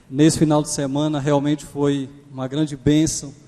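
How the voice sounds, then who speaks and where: This man talks at a fairly slow pace in a fairly high pitch. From Pernambuco, Brazil. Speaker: guest preacher. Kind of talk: sermon. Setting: church.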